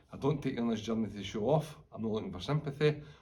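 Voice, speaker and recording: Somewhat breathy, a man talks at a very fast pace with ordinary pitch variation in a room with audible echo. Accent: Scottish. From Scotland, Fife. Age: 40s. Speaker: retired police officer. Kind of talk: personal testimony. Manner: informal, conversational.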